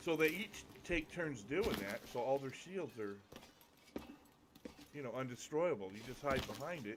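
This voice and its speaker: Lively in intonation, a man speaks at a medium pitch and moderate pace. He leaves long, frequent pauses over noticeable background noise. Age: 60s. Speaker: gamer. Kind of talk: casual chat.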